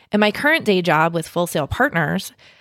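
A plain, everyday voice from a woman at medium pitch and a moderate pace. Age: 40s. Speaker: podcast host and marketing consultant. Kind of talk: personal monologue.

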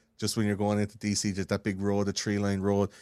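A man speaks in an Irish accent at a fairly low pitch. The sound is dry and close with no echo, on a very clean recording with a silent background. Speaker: podcaster. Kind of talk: casual chat. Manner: fast.

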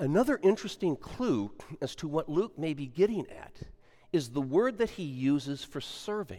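Speaking at a moderate pace, a man uses a dark, mellow tone at a fairly high pitch. His pitch swings very widely, and his loudness rises and falls in big swings. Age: 70s. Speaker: pastor. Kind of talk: sermon. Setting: church.

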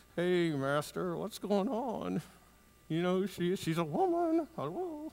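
A man performs a put-on character voice. It is high-pitched and comes at a fairly slow pace. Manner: talking through clenched teeth, lips barely moving.

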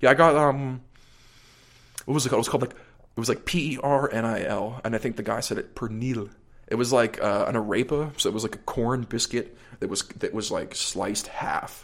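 A man with an American accent speaks at medium pitch with fairly even intonation in a plain, everyday voice. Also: fairly quick pace. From US, Pittsburgh suburbs. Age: 20s. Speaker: drummer. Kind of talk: casual chat.

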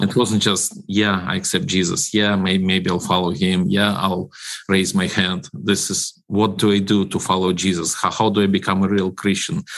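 Hardly pausing, a man talks in a Ukrainian accent at a moderate pace. His pitch is fairly low and his intonation fairly even. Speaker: ministry director. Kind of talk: radio interview.

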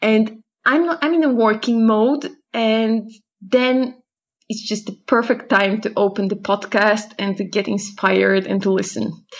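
A woman's somewhat breathy, fairly high voice with a Polish accent and ordinary pitch variation. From Poland. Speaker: sign language interpreter, listener. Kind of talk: recorded voicemail. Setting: voicemail recording.

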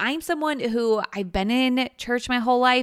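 A woman's ordinary speaking voice, fairly high-pitched, at a moderate pace, on a very clean recording with a silent background. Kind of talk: guided meditation. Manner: warm, inviting, soft-spoken.

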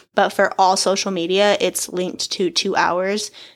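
A plain, everyday voice at a moderate pace comes through on a very clean recording with a silent background. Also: woman. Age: 20s. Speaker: podcast host. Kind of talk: casual solo monologue. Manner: chatty, laughs often.

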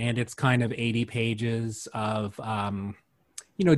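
With a Canadian accent, a man speaks at a fairly slow pace in a medium pitch. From Windsor, Ontario, Canada. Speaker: artist, writer and publisher. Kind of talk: interview. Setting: online call. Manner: halting.

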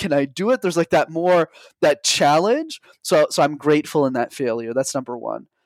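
A normal speaking voice from a man, fairly high in pitch, fairly quick, with lively intonation, in a very clean recording with a silent background and a dry, close sound with no echo. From Montreal, Canada. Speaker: public speaking coach. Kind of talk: interview.

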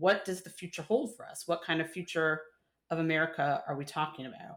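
A woman's normal speaking voice, fairly low in pitch, at a fairly quick pace. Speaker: journalist. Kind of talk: interview.

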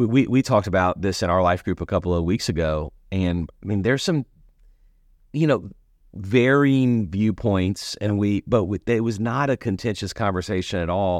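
A man talks in an ordinary speaking voice at a fairly low pitch. His pitch varies in an ordinary way, and the background is quiet. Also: moderate pace. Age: 40s. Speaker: senior pastor, podcast host. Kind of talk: casual chat.

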